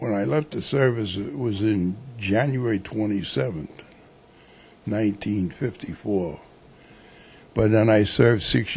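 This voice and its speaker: A somewhat breathy man with a New York accent, fairly low-pitched, lively in intonation, at a fairly slow pace. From New York City (Manhattan). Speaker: war veteran. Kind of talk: interview.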